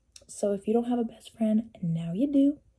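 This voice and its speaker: A woman with an unremarkable speaking voice talks at a fairly slow pace in a fairly high pitch. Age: 20s. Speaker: beauty vlogger. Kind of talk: casual chat. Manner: casual, chatty.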